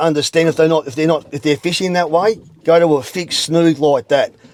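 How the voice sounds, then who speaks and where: A man with an Australian accent at a very fast pace, fairly high in pitch, his intonation fairly even. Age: 60s. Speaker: veteran angler. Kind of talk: instructional interview. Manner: halting, repetitive.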